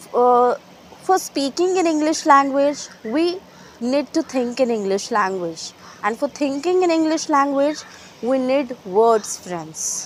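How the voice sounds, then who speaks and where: Speaking very slowly at a high pitch, a woman makes very wide pitch swings over noticeable background noise. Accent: Marathi Indian. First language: Marathi. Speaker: English teacher. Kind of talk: tutorial. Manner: halting, with fillers.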